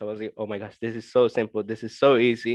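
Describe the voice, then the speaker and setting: Here a man speaks with a Spanish accent. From Colombia. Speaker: funded forex trader. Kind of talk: interview. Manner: halting.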